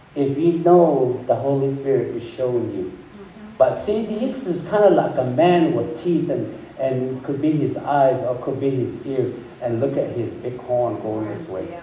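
A man talks at a fairly slow pace with lively intonation. Noticeable background noise runs behind him. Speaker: pastor. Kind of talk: sermon. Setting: church. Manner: halting.

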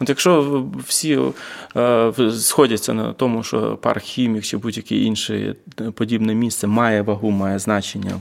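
In a normal speaking voice, a man talks at a fairly slow pace, fairly low in pitch, with ordinary pitch variation. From Vinnytsia, Ukraine. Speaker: urban activist. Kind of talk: casual chat. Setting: large hall, basement.

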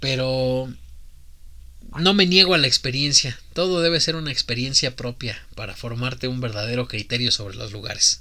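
In a Mexican accent, a man talks at medium pitch and a moderate pace. His tone is animated, bright and sharp, with ordinary pitch variation. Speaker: podcast host. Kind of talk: casual chat.

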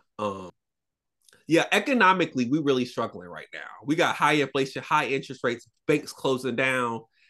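With an American accent, a man speaks at a fairly quick pace in a bright, sharp tone at medium pitch. His intonation is lively, and his loudness swings a lot. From US South, Florida. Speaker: podcast co-host. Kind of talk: casual chat.

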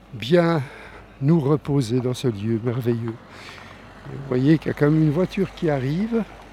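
A man speaks very slowly at a medium pitch, his tone dark and mellow, with ordinary pitch variation. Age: 60s. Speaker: travel podcaster. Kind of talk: travel narration.

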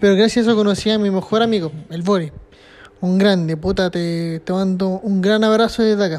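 The speaker has a Chilean accent and talks at a fairly quick pace. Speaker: solo podcaster. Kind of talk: casual monologue. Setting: at his workplace, sitting in a chair. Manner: animated.

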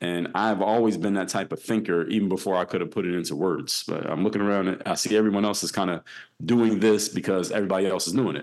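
Against a quiet background, a man with an American accent talks very fast in a fairly low voice with fairly even intonation. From Philadelphia, US. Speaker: former pro basketball player and business speaker. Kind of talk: podcast interview.

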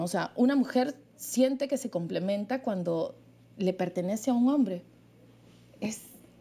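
A woman speaks with fairly high pitch and a dark, mellow tone, her intonation lively. The pace is fairly slow, and the recording is very clean with a silent background. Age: 40s. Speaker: writer and social communicator. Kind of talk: interview.

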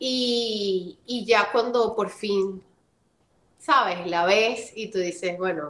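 Her pitch varies in an ordinary way. The woman's voice sits at a medium pitch. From Venezuela. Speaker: voice actress and model. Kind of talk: interview.

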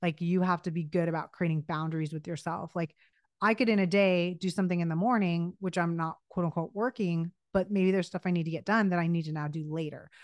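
A woman talks at a very fast pace with fairly even intonation. The background is quiet. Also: fairly low pitch for a woman. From US West Coast, Los Angeles. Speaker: creative director and brand consultant. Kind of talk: interview.

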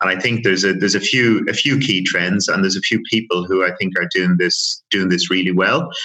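Talking at a fairly quick pace with hardly any pauses, a man with a Dublin accent has a very deep, low pitch, a bright, sharp tone, fairly even intonation and very even loudness. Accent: Irish (Dublin). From Ireland, Dublin. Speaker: airline loyalty manager. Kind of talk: interview. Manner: halting, many repetitions.

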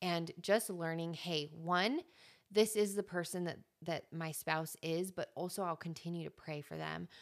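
A woman speaks with an American accent. Her voice sits fairly low, and her intonation stays fairly even. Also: fairly slow pace, very clean recording, silent background. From New Mexico, US (Albuquerque). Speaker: podcaster and author. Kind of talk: casual chat.

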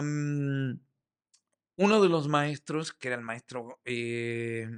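Dry and close with no echo against a quiet background, a man's fairly high voice carries lively intonation. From Uruguay, Montevideo. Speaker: theatre director and playwright. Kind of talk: interview.

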